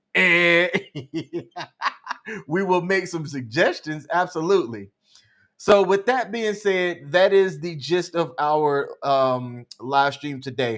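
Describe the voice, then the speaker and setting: A man with a high pitch speaks at a fairly slow pace with lively intonation on a very clean recording with a silent background. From Alabama. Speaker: live stream co-host. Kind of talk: casual chat. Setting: live stream.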